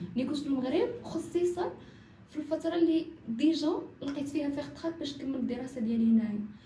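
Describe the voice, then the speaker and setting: Recorded with audible room echo, a woman talks at a fairly quick pace in a high pitch, with a dark, mellow tone and ordinary pitch variation. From Morocco. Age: 20s. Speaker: footballer. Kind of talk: podcast interview.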